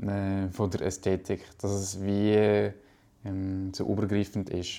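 In a very clean recording with a silent background, a man speaks very slowly, his fairly low voice dark and mellow in tone. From Switzerland, Valais (Brig). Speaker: graphic designer. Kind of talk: interview.

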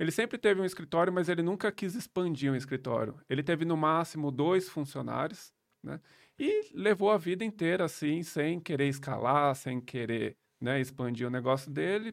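A man with an unremarkable speaking voice, fairly high pitch and lively intonation, at a moderate pace in a very clean recording with a silent background. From São Paulo, Brazil. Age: 30s. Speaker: accountant and digital nomad entrepreneur. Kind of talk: casual interview. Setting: studio.

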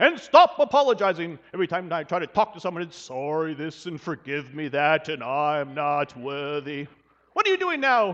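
A man booms out a put-on character voice at a fairly high pitch. His pace is moderate. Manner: booming, impatient, irritated.

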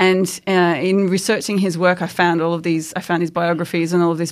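Heard on a very clean recording with a silent background, a woman with an Australian accent speaks at a fairly low pitch with monotone, flat intonation. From Australia, Queensland. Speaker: historian, research fellow. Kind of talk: interview. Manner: halting.

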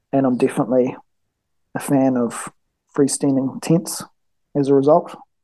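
A man with a New Zealand accent talks fairly slowly, his fairly high voice dark and mellow in tone. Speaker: engineer and mountain hunter, gear maker. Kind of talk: casual interview. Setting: call.

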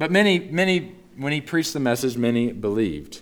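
A man's voice with lively intonation and an American accent. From US South, Northeast Texas. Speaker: pastor. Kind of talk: sermon.

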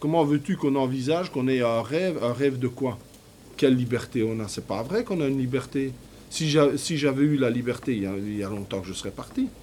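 With a dark, mellow tone, a man talks at a fairly quick pace in a medium pitch with ordinary pitch variation. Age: 50s. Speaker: factory worker and poet. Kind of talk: interview testimony.

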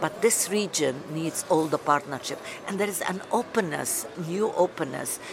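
A woman speaks with a fairly low pitch and ordinary pitch variation. Noticeable background noise is present. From Lebanon. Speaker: writer and journalist. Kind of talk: interview. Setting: at a conference.

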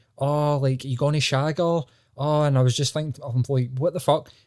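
With a Scottish accent, the speech moves at a moderate pace on a very clean recording with a silent background, the sound dry and close with no echo. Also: man. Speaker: podcast co-host. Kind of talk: casual chat. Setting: in bed at home.

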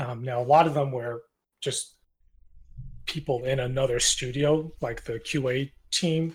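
Long, frequent pauses break up this man's speech. His voice is somewhat breathy and medium in pitch. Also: fairly even intonation, fairly slow pace. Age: 30s. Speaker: indie game developer. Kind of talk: casual interview. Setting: Discord voice call.

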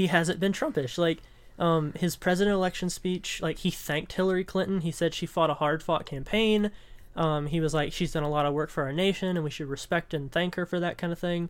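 Recorded very cleanly against a silent background, the speech moves at a fairly quick pace. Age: 20s. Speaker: podcast co-host, web developer. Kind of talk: casual chat.

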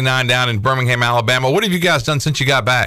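A man speaks at a middle pitch with normal rises and falls. He has an unremarkable speaking voice. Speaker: sports radio host.

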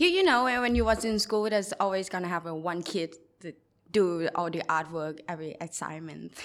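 A woman at a fairly low pitch with a Thai accent, ordinary pitch variation and a fairly quick pace. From Thailand, Bangkok. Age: 20s. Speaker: mural artist. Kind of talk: interview.

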